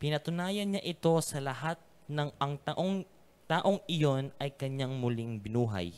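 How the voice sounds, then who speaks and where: A man talks at a fairly slow pace with lively intonation in an ordinary speaking voice. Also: fairly high pitch for a man. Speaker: scripture reader. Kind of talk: reading aloud.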